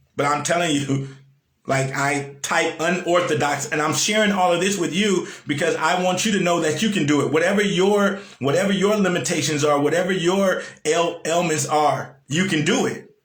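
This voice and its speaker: A man speaks in an animated tone at a moderate pace, his pitch high with ordinary variation. There is audible room echo. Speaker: motivational speaker. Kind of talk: live-stream motivational talk. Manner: animated, repetitive.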